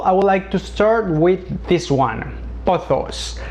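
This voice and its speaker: With a Spanish accent, a man speaks at a fairly slow pace over noticeable background noise. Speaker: plant hobbyist youtuber. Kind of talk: tutorial. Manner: halting.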